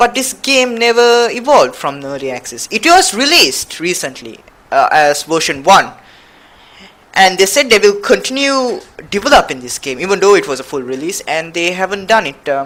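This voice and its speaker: Spoken with a non-native accent, the clip carries noticeable background noise. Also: moderate pace. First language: not English. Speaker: gaming YouTuber. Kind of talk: video game commentary. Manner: halting.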